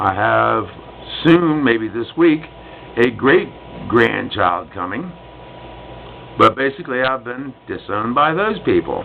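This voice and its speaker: Over noticeable background noise, a man with an American accent talks at a fairly slow pace with long, frequent pauses, his medium pitch swinging very widely. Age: 60s. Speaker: vlogger, retired Vietnam veteran. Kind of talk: personal vlog monologue. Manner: outspoken, loud.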